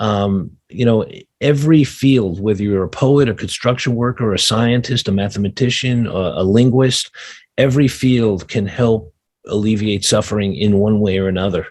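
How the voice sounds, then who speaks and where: With a New York accent, a man talks in a fairly low pitch. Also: ordinary pitch variation, moderate pace. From New York City, Brooklyn. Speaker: sustainability adviser. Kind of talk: interview. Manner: halting, many fillers.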